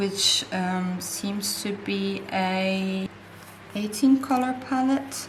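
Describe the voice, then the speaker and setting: Heard with noticeable background noise and audible room echo, the speaker has a non-native accent and ordinary pitch variation. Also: woman. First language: not English. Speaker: art supplies YouTuber. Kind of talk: casual unboxing vlog. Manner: hesitant at times.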